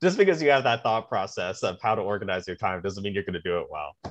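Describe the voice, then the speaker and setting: Against a quiet background, a man's voice is heard. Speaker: podcast guest. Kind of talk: interview answer. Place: home room. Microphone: video call.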